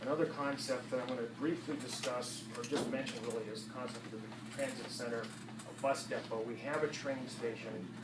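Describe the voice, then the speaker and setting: A man speaks at a moderate pace and a medium pitch, with fairly even intonation and hardly any pauses. Noticeable background noise and audible room echo come through. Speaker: member of the public at a hearing. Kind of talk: public comment speech. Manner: soft-spoken; halting.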